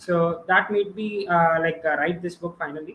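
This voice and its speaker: Intonation is fairly even throughout. The speech moves at a moderate pace. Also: man. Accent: Indian. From India, Andhra Pradesh (Visakhapatnam). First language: Telugu. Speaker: student author, math YouTuber. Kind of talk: live stream interview. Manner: hesitant, many fillers.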